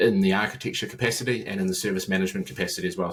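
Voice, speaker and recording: A man with a New Zealand accent at a very fast pace. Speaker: IT consultant, former enterprise architect. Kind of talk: podcast interview. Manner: halting, many fillers and repetitions.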